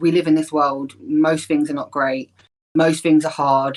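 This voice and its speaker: In a London accent, a woman with a very deep, low pitch speaks at a fairly quick pace with monotone, flat intonation. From North London, Islington. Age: 30s. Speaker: spiritual practitioner. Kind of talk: podcast interview.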